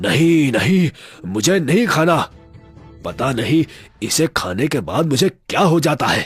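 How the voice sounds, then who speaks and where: A man does a cartoonish character voice at a fairly high pitch. He goes at a fairly slow pace over faint music in the background. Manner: angry, threatening.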